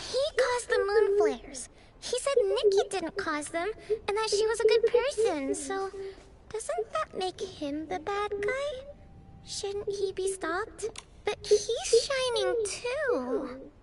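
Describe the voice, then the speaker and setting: A put-on character voice at an extremely high pitch comes through with clear background noise. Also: fairly slow pace. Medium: video game. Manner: musing.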